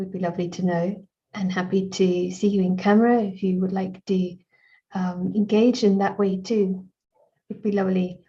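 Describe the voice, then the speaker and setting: Her intonation is monotone and flat. The woman's somewhat breathy voice has a dark, mellow tone. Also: medium pitch for a woman, moderate pace. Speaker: meditation session host. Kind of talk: online talk moderation. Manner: hesitant, many fillers.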